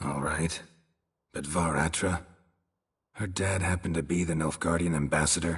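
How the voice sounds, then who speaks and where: The speaker uses a put-on character voice. Long pauses come often. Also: man, very deep, low pitch for a man, moderate pace. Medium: video game. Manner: terse, deadpan.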